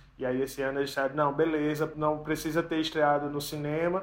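At a fairly quick pace, a man speaks with a fairly high pitch in monotone, flat intonation. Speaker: podcast owner and co-host. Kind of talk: casual chat.

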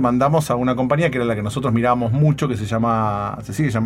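A man speeds through his words at a very fast pace, his pitch varying in an ordinary way. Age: 40s. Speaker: internet entrepreneur and podcaster. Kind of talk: interview.

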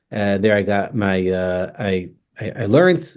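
A man with an American accent speaks at a fairly low pitch against a quiet background. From New York, Staten Island. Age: 50s. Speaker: rabbi. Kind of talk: interview. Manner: informal.

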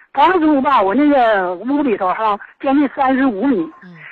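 This woman's voice sits high in pitch, moving at a moderate pace with lively intonation. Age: 60s. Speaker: caller. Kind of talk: call-in complaint. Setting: phone call. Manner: halting.

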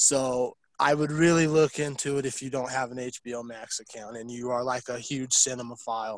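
In a normal speaking voice with fairly even intonation, the speaker goes at a moderate pace with big swings in loudness. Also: man, medium pitch for a man. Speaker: podcast co-host. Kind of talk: casual chat. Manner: profane, joking.

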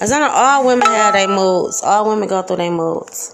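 A woman's animated tone at a moderate pace, with ordinary pitch variation, audible room echo and noticeable background noise. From Detroit, east side. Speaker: podcaster. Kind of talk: casual monologue. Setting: home kitchen.

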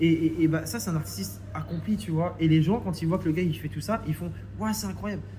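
In a room with audible echo, a man speaks at medium pitch and a fairly quick pace. His dark, mellow tone has vocal fry and very wide pitch swings. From France, Reims. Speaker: film director. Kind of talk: casual interview chat. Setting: coworking office.

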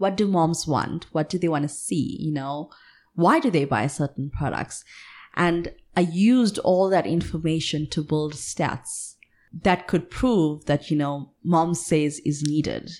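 In a very clean recording with a silent background, a plain, everyday voice speaks at a fairly slow pace with ordinary pitch variation. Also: woman, fairly low pitch for a woman. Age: 20s. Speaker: entrepreneur. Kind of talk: casual chat.

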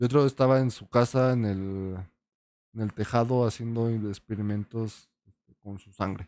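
In a dry, close recording with no echo, a man of medium pitch speaks at a moderate pace with fairly even intonation and big swings in loudness. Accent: Mexican. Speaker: podcast co-host. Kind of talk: casual chat.

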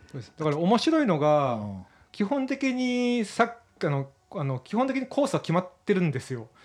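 A man's high-pitched voice at a moderate pace, full of very wide pitch swings. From Japan, Miyazaki. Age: 40s. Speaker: runner and documentary producer. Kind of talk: casual interview.

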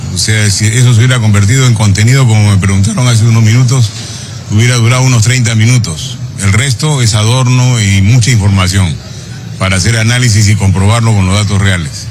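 Man at a medium pitch and fairly quick pace, fairly even intonation and very even loudness, with audible room echo and noticeable background noise. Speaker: congressman. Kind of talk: press interview.

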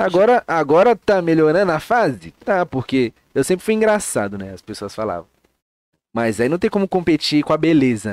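A man with a fairly high pitch talks at a moderate pace, with very wide pitch swings and big swings in loudness, in a dry, close sound with no echo. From São Paulo, Grajaú (south zone). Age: 20s. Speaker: comedian and digital influencer. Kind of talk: casual chat.

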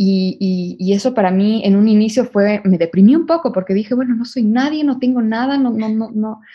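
A woman's fairly high voice, somewhat breathy, at a fairly quick pace with ordinary pitch variation. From Ecuador. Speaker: fashion brand consultant. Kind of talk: interview. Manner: halting, many fillers and repetitions.

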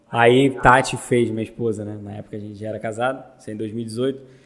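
The speaker is a man with a medium pitch. His intonation is monotone and flat. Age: 30s. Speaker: teacher and business owner. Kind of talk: casual chat.

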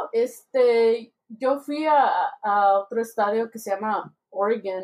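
Her pitch is high. The woman's pitch varies in an ordinary way. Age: 20s. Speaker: podcast host. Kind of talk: casual chat.

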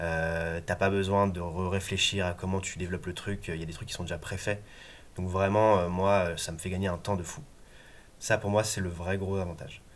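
A man talks in a very deep, low pitch at a moderate pace. His intonation is monotone and flat. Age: 30s. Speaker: web agency co-founder and developer. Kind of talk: casual interview. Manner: hesitant with many fillers.

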